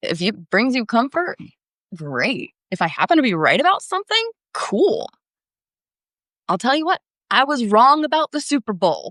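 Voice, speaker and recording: A woman speaks in a high voice with very wide pitch swings. Her long pauses come often, and the sound is dry and close with no echo. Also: moderate pace. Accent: American. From Florida. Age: 30s. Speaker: tarot reader livestreamer. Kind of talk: livestream tarot readings with chat. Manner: casual, chatty.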